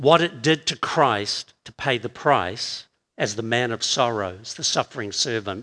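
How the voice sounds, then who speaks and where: With a New Zealand accent, a man talks at a fairly slow pace using lively intonation. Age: 60s. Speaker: pastor. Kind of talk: sermon. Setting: church with congregation.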